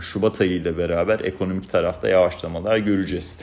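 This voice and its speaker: A man with a very deep, low pitch talks at a fairly quick pace in monotone, flat intonation. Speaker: investment research analyst. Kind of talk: market commentary monologue. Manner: conversational with filler hesitations.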